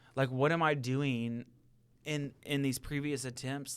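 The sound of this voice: A man's medium-pitched voice, clear and smooth in tone, with ordinary pitch variation and a fairly slow pace, on a very clean recording with a silent background.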